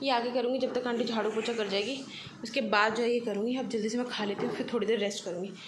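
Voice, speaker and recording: Amid audible room echo and noticeable background noise, a woman with a fairly high pitch speaks in a monotone, flat intonation. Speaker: vlogger. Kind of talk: casual vlog narration.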